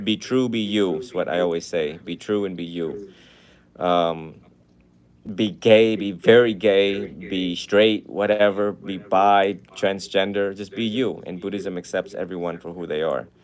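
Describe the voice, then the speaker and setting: A man talks at a fairly slow pace in a fairly low pitch. His intonation is fairly even, but his loudness swings widely. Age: young. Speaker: Buddhist monk. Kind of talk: casual chat. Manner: calm.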